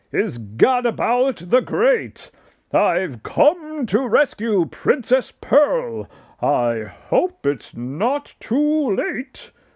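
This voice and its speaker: A man uses a put-on character voice with a high pitch, speaking at a very slow pace. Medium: read story.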